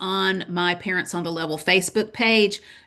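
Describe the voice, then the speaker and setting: Against a quiet background, a woman with a bright, sharp tone speaks with fairly even intonation. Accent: Southern US. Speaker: parent advocacy webinar host. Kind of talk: webinar presentation. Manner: casual, conversational.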